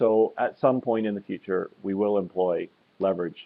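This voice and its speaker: In a normal speaking voice, a man speaks with a fairly low pitch and ordinary pitch variation. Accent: Canadian. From Canada. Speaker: oil company executive. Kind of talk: investor webinar interview. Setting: webinar with slides.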